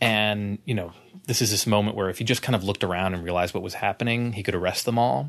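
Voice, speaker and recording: An ordinary speaking voice carries lively intonation throughout. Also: man. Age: 30s. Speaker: podcast co-host and author. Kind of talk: casual chat.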